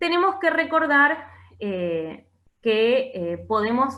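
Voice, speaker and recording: A woman's voice full of very wide pitch swings, with audible room echo. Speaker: teacher. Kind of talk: lecture.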